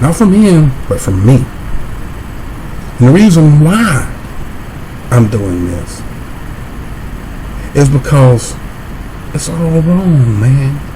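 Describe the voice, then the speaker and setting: Over noticeable background noise and audible room echo, a man with an American accent speaks at a very slow pace in a fairly high pitch, with very wide pitch swings and long, frequent pauses. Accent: country accent, his own way of talking. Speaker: YouTuber. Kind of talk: confrontational video rant.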